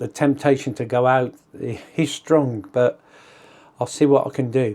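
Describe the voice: A man speaks at a fairly slow pace with a dark, mellow tone. His medium pitch holds fairly even intonation.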